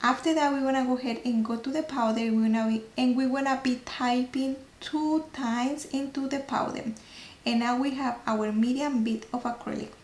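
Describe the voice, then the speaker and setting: A woman's high, flat, monotone voice at a moderate pace, over noticeable background noise. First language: not English. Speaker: nail technician. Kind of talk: tutorial. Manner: halting.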